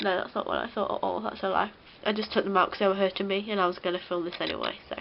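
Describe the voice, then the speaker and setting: Very fast speech in a British accent comes with a monotone, flat intonation. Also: woman, medium pitch for a woman. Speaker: beauty vlogger. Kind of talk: tutorial. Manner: casual, chatty.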